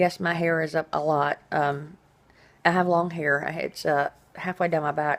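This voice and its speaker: Flat, monotone intonation runs through speech at a moderate pace. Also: woman. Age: 40s. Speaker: vlogger documenting dental surgery recovery. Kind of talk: casual video diary. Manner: rambling with many fillers.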